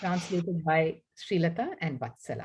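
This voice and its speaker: With a Tamil accent, a woman speaks at a moderate pace and a fairly low pitch. Her voice is somewhat breathy. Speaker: poet and professor. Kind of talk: event presentation; poetry reading.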